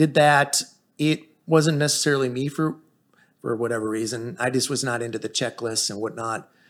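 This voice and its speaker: A man's medium-pitched voice with an American accent, a plain, everyday voice, ordinary pitch variation and a moderate pace, in a very clean recording with a silent background. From Chicago, then Texas from high school. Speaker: accountant. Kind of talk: casual interview.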